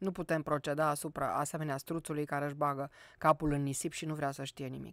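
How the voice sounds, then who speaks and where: A woman's very deep, low voice in a monotone, flat delivery, recorded dry with no echo against a quiet background. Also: fairly quick pace. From Romania, Cluj; Romania. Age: 60s. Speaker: poet and university professor; poet, university professor. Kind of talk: radio interview. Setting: studio. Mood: calm reflective. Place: studio. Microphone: studio mic.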